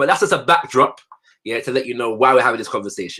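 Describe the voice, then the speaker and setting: A very clean, silent-backed recording of a voice with a bright, sharp tone. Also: man. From Caribbean heritage, not America. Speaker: panel host. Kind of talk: panel discussion.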